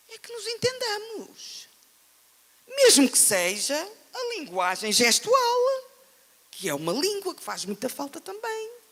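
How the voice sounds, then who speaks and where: Someone with a European Portuguese accent speaks at a very slow pace, pausing long and often, over noticeable background noise. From Portugal. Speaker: writer, panel speaker. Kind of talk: panel discussion. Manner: animated.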